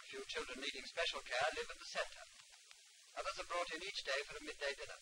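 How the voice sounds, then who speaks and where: A man at a fairly quick pace against noticeable background noise. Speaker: evolutionary biologist. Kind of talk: public information film narration.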